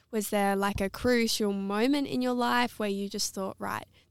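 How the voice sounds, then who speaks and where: The sound is dry and close, with no echo, on a very clean recording with a silent background. The voice shows ordinary pitch variation. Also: woman. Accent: Australian. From South Australia. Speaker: podcast co-host. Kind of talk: podcast interview.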